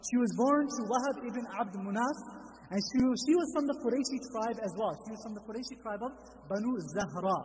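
With light noise behind him, a man talks fairly quickly at an extremely high pitch, with ordinary pitch variation. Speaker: religious teacher. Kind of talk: lecture. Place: church. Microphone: studio mic.

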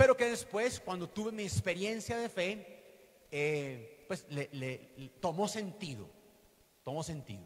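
Very slow in pace, the voice moves through very wide pitch swings and big swings in loudness. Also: man, high pitch for a man. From Colombia, western Antioquia. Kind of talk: teaching talk at a religious conference. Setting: hall with live audience. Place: church. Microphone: handheld.

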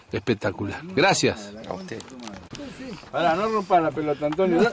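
A man's voice, fairly high in pitch, sounds dry with no echo over light background noise. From Argentina. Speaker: fishing show host. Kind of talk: casual fishing vlog narration. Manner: animated. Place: boat. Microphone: phone near.

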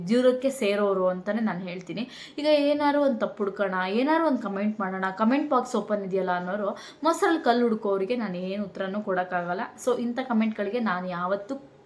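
A woman's voice shows ordinary pitch variation amid noticeable background noise. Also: medium pitch for a woman. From Karnataka, village near Shivamogga. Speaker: vlogger. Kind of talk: casual vlog talk to camera.

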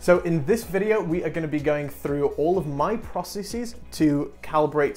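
A man at a moderate pace with hardly any pauses, over faint background music. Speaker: 3D printing video host. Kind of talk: tutorial. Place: studio. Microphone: lapel.

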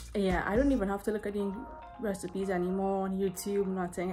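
A woman talking at a very fast pace, with faint music in the background. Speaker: home cooking vlogger. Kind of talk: casual vlog chat. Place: kitchen. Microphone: phone near.

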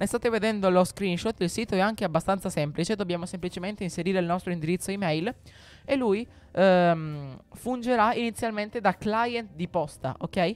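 A man's high voice at a fairly quick pace, with ordinary pitch variation and dry sound with no echo. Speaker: tech YouTuber; tech youtuber. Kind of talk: tutorial. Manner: halting, with frequent repetitions. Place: home room. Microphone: studio mic.

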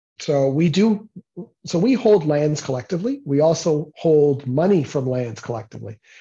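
A man's somewhat breathy, dark, mellow voice with a Canadian accent, fairly high in pitch, lively in intonation, at a moderate pace over a quiet background. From Toronto area, Ontario, Canada. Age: 50s. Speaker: guest lecturer. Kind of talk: lecture. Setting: meeting room with audience. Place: office. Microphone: earbuds.

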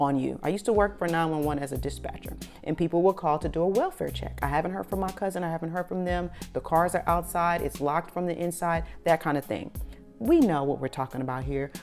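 Faint music plays in the background as a woman talks at a very fast pace. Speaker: motivational vlogger. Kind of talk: motivational talk to camera. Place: home room. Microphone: lapel.

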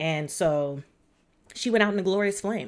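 A woman with lively intonation talks at a moderate pace, and the background is quiet. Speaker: show reviewer. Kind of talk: casual review commentary. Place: home room.

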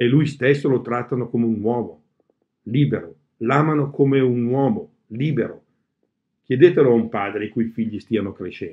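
Using a Bergamasque accent, a man talks at a moderate pace and medium pitch with ordinary pitch variation and long, frequent pauses. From Bergamo area, Lombardy; Lombardy, Italy. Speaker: cultural organizer and reader; reader. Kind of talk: reading aloud. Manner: halting. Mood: calm, reflective. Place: home room. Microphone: webcam.

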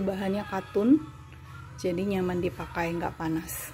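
Clear music sounds behind a woman as she talks. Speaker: online clothing seller. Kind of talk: product demonstration. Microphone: phone near.

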